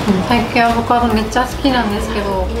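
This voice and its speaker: A woman is speaking. Clear music plays behind her. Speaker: food reviewer. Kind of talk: casual food tasting chat. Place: cafe. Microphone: camera far.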